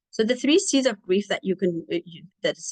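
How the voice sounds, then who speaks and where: A woman speaks with a dry, close sound that carries no echo. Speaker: clinician. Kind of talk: lecture. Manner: halting.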